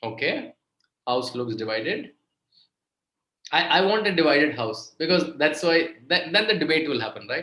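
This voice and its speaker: A man's fairly high, bright and sharp voice with an Indian accent, lively intonation and a moderate pace. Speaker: author and guest lecturer. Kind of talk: lecture to students. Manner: repetitive, stop-start phrasing.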